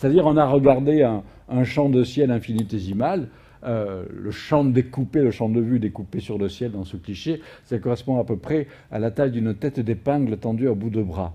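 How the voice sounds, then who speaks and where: At a moderate pace, a man with a medium pitch and ordinary pitch variation speaks in a dark, mellow tone. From Provence, southern France. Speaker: astrophysicist. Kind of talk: public lecture. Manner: frequent hesitations (euh).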